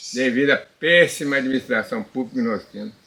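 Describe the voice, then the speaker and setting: A man's lively intonation at a moderate pace, amid noticeable background noise. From Minas Gerais, Brazil (Sete Lagoas area). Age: 80s+. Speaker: elderly local resident. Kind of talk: interview. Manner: halting, with repetitions.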